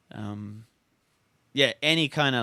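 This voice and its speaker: The recording is very clean and the background silent. Speech unfolds very slowly. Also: man. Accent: Estonian. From Estonia. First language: Estonian. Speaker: speed flyer. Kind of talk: casual chat. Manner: halting.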